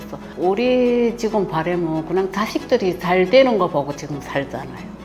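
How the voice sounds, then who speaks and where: A woman's medium-pitched voice with big swings in loudness and hardly any pauses, music in the background. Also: lively intonation, moderate pace. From North Korea. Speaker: mother-in-law of the author, North Korean defector. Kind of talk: interview.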